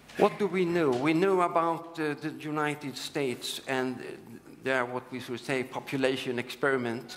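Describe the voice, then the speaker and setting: With a Swedish accent, the voice moves at a moderate pace with ordinary pitch variation, against audible room echo and noticeable background noise. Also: man. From Sweden. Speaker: urologist and screening researcher. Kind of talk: conference lecture. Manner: halting, with many fillers.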